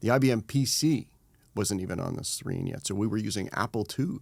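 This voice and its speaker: In a very clean recording with a silent background, a man talks at a fairly quick pace in a plain, everyday voice with ordinary pitch variation. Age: 60s. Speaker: trade association executive. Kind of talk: interview conversation.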